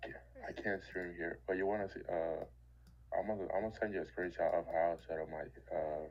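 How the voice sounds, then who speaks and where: A man speaks at a fairly quick pace. His speech breaks up with long, frequent pauses. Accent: Dominican. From Dominican Republic. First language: Spanish. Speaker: trader. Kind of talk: casual chat. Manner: halting.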